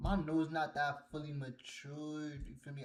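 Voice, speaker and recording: This voice belongs to a man. It carries a somewhat breathy quality. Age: 20s. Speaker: fragrance reviewer. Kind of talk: casual review.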